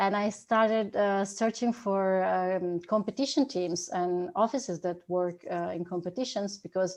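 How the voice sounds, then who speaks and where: A woman's medium-pitched voice in an Italian accent, at a moderate pace with ordinary pitch variation, over a quiet background. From Italy. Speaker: 3D artist and architect. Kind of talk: conference presentation.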